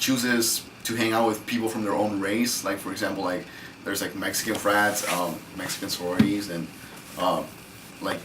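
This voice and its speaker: A man with a fairly low voice speaks at a fairly quick pace amid noticeable background noise and audible room echo. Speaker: university student. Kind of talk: casual discussion.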